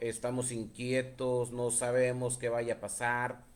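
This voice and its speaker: Very slowly, a man talks in a medium pitch. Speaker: preacher. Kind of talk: sermon. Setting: live stream.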